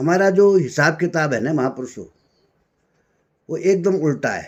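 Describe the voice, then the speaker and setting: Fairly high in pitch, a man talks in an ordinary speaking voice. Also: ordinary pitch variation. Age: 60s. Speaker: spiritual speaker. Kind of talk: spiritual talk.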